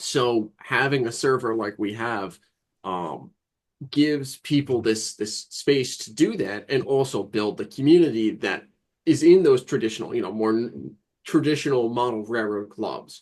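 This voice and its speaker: Against a quiet background, a man with a medium pitch speaks at a fairly slow pace. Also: ordinary pitch variation. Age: 20s. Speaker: model railroad podcast panelist. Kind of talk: casual group discussion. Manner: halting, repeats words.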